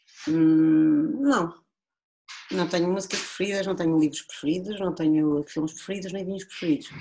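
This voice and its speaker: Using an ordinary speaking voice, a woman talks at a moderate pace with a fairly low pitch and lively intonation. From Portugal, Viseu district (Dão). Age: 40s. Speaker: winemaker. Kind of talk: casual chat.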